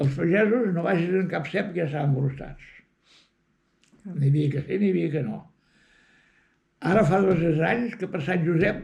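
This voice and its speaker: A man's high-pitched voice with ordinary pitch variation, a fairly slow pace and long, frequent pauses. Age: 80s+. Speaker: rural villager. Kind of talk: interview answer.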